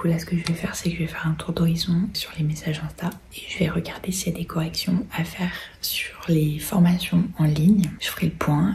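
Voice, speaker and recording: A woman's fairly low-pitched voice, monotone and flat, at a moderate pace with noticeable background noise. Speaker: beauty vlogger and nail technician. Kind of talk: casual vlog chat. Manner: speaking very softly.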